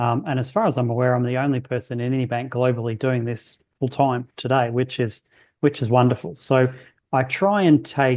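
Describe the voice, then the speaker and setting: An Australian accent at a moderate pace, with fairly even intonation. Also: man, medium pitch for a man. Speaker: bank research economist. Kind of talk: podcast interview.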